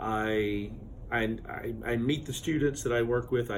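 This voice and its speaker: A man speaks with an American accent at a fairly slow pace and fairly even intonation. Room echo is audible. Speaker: university admissions advisor. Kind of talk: interview. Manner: loud.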